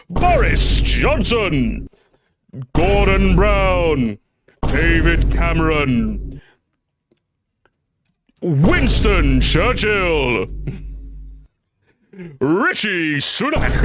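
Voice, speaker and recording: A raspy, put-on character voice carries a dramatic tone at a very slow pace with long, frequent pauses. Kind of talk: announcer. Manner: hyped, dramatic.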